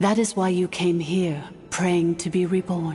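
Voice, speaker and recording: A put-on character voice, female-sounding and fairly low in pitch for a woman, solemn in tone at a moderate pace, with faint music in the background. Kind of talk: epic storytelling. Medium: video game. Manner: measured, solemn.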